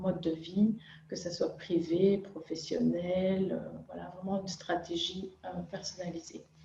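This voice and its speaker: Her intonation stays monotone and flat. This woman talks at a fairly slow pace. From Belgium. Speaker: nutritionist and chef. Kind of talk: interview. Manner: halting, many filler sounds.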